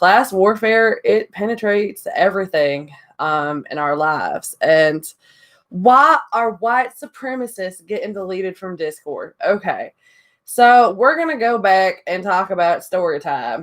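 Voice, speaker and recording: Her medium-pitched voice swings very widely in pitch as a woman with a Southern US accent talks at a fairly slow pace. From Indiana. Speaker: YouTuber. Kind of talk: casual vlog monologue.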